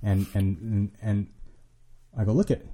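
In an American accent, a man speaks with a fairly low, somewhat breathy voice and a dark, mellow tone. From Southern California. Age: 30s. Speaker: addiction recovery worker, former prisoner. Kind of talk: casual interview chat. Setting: studio. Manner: halting, many repeated words.

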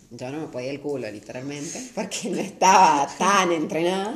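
Over noticeable background noise and audible room echo, a woman with a very deep, low pitch speaks at a fairly slow pace, her pitch swinging very widely. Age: 20s. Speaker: law student and runner. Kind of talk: casual chat.

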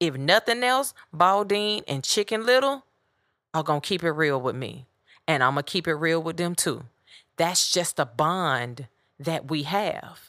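Her pitch fairly low for a woman yet swinging very widely, a woman speaks at a fairly slow pace with a bright, sharp tone on a very clean recording with a silent background. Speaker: podcast host. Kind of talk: solo podcast monologue, casual. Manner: direct, curt.

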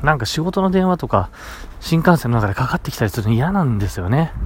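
The man's pitch swings very widely. He talks at a fairly quick pace. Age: 30s. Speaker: podcaster. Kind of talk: casual solo diary podcast.

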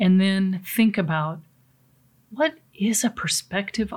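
A somewhat breathy woman with an American accent, medium pitch, ordinary pitch variation and a very slow pace. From US Pacific Northwest. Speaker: seminar speaker on coping with change. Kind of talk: motivational talk. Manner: conversational, with frequent fillers.

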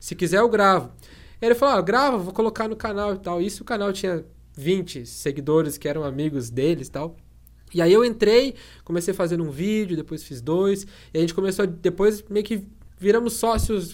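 A man's high-pitched voice comes through on a very clean recording against a silent background. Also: moderate pace. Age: 20s. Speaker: tech youtuber. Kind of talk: interview.

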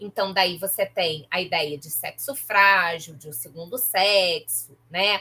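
A woman at medium pitch speaks very slowly, yet with hardly any pauses. Her tone is bright and sharp, with ordinary pitch variation and big swings in loudness. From Baixada Fluminense, Rio de Janeiro state (Nova Iguaçu). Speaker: professor and podcaster. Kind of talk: interview conversation.

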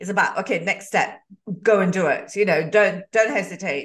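Moving at a middling pace is an unremarkable speaking voice. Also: woman. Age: 50s. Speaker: podcast host. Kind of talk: interview.

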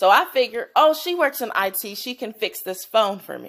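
An animated woman's voice with very wide pitch swings, on a very clean recording against a silent background. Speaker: podcast host. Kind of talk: casual monologue; guided mindfulness.

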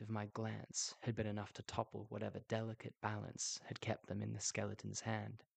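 Someone reading aloud in a natural voice.

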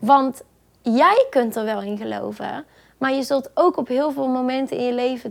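The recording is very clean, with a silent background. A woman speaks at a high pitch. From Netherlands, Brabant (Boxtel). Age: 20s. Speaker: professional dancer. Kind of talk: interview. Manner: hesitant, many fillers.

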